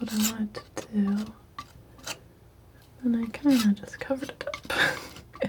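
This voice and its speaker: Over noticeable background noise, a soft-spoken woman talks in a fairly high pitch with a relaxed tone and monotone, flat intonation. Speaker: painter / ASMR art creator. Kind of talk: soft-spoken ASMR painting commentary. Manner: soft-spoken, relaxed.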